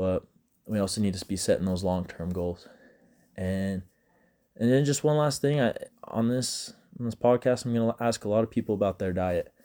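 A man's medium-pitched voice with an American accent and a dark, mellow tone, at a moderate pace with ordinary pitch variation and long, frequent pauses, on a very clean recording with a silent background. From Utah, US. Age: 20s. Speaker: college student podcaster. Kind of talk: casual solo monologue. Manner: halting, with frequent repeated words.

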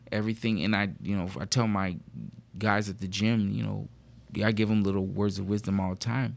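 A man speaks at a moderate pace in a fairly low voice. The recording is very clean, with a silent background. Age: 40s. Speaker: co-host. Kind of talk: casual chat. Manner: halting, many fillers.

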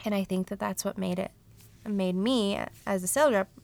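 This is a woman with an American accent. Her voice sits at a medium pitch. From Colorado, US. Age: 30s. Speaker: podcast host and contractor. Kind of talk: solo podcast monologue.

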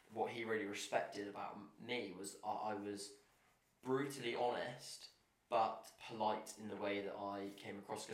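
The speaker is a man with a fairly low pitch. His intonation is flat and monotone. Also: moderate pace. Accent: English. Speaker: visiting house guest.

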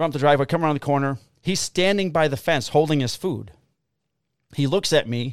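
On a very clean recording with a silent background and a dry, close sound with no echo, a man talks at a fairly quick pace with lively intonation. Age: 50s. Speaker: podcast host and police officer. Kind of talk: casual chat.

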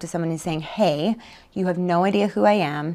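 In a very clean recording with a silent background, a woman with a Canadian Prairie accent speaks at a fairly quick pace, her fairly low pitch showing ordinary variation. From Canada, Manitoba (Winnipeg area). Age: 30s. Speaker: author, speaker and charity founder. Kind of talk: casual interview.

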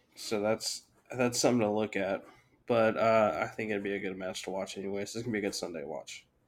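This man has a plain, everyday voice at a fairly low pitch. He speaks at a fairly quick pace with fairly even intonation. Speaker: rugby podcast host. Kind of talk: casual banter. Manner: joking, deadpan.

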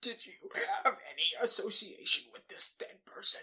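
A raspy, extremely high put-on character voice at a moderate pace. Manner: mocking, joking.

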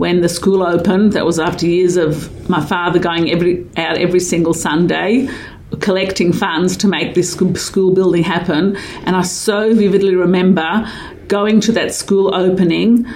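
Speech at a moderate pace with fairly even intonation and very even loudness comes through audible room echo and noticeable background noise. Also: woman, fairly low pitch for a woman. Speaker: caterer and doula. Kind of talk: interview.

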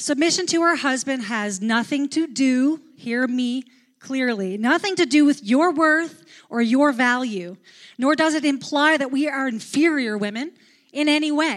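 At a fairly slow pace, a woman talks in a high voice. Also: ordinary pitch variation. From Newfoundland, Canada. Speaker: pastor. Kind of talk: sermon. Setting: church.

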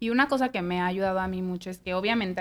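A woman with a Mexican accent speaks at a medium pitch. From Mexico. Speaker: podcast host. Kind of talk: casual chat.

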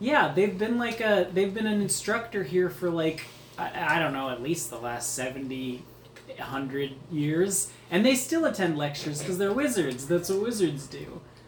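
At a moderate pace, the speech carries on over noticeable background noise. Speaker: player in a tabletop RPG campaign. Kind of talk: casual tabletop roleplaying game session.

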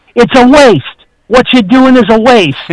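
Putting on a character voice, a man talks in an extremely high pitch with a strong New York accent. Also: moderate pace. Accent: thick New York. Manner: dismissive, disapproving.

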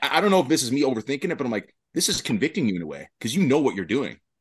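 Very fast male speech with vocal fry and very wide pitch swings, dry and close with no echo. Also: hardly any pauses. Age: 30s. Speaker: gym owner. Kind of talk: panel discussion. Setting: video call.

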